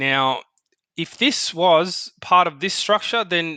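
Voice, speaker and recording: The background is quiet as a man speaks with an Australian accent. His tone is bright and sharp. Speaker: market analyst. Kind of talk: tutorial. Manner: casual, halting with fillers.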